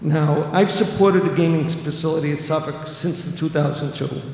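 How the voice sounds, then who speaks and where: A man in a Boston accent, fairly high-pitched and monotone with flat intonation, with audible room echo and noticeable background noise. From Revere, Massachusetts (Boston area). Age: 60s. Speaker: city councilor. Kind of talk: public hearing testimony. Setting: public hearing.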